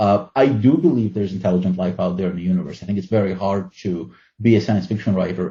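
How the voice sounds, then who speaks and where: A man speaks at a very fast pace with a Russian accent. His voice is very deep and low, and somewhat breathy. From Ukraine, former Soviet Union. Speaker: fantasy and science fiction writer. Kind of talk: interview.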